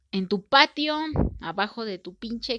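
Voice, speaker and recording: A woman's fairly high, bright and sharp voice with a Mexican accent and lively intonation, recorded dry and close with no echo against a quiet background. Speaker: podcast host. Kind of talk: casual monologue. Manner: informal, conversational.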